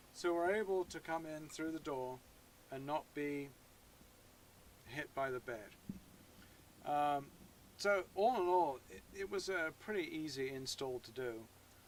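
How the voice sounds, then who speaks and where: A man at a fairly high pitch and fairly slow pace, with lively intonation, big swings in loudness and long, frequent pauses. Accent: English. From England. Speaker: YouTuber. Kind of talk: tutorial. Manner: hesitant, many fillers.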